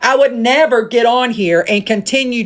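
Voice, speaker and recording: A woman speaks with a Southern US accent at a moderate pace. Her pitch is fairly high, with ordinary variation. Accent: Southern twang. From US South. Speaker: live streamer. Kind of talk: rant. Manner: animated.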